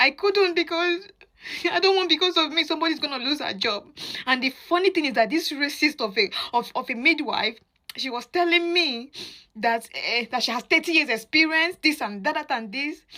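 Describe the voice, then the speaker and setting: A woman with a high, bright, sharp voice projects it loudly, speaking at a moderate pace with lively intonation. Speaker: mother sharing experience. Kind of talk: testimony.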